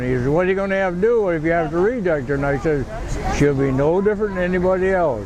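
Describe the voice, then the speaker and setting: A man talks at a very fast pace with ordinary pitch variation. Audible room echo and noticeable background noise fill the recording. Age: 90s. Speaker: war veteran. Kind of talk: interview. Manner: halting.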